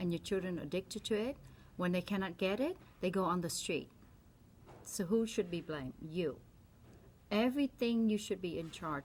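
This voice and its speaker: A somewhat breathy voice with a Vietnamese accent, moderate pace and lively intonation. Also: woman. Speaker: doctor. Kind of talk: opinion monologue. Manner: animated.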